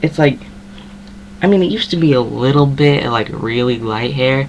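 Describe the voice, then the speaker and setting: Against noticeable background noise, a man with an American accent speaks at a moderate pace. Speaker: vlogger. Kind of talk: casual chat. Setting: webcam at home. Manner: filler-heavy.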